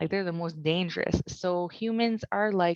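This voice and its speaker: A woman with a Franco-Ontarian accent at a moderate pace, her pitch fairly low. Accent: Franco-Ontarian Canadian English. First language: French. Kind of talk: webinar presentation.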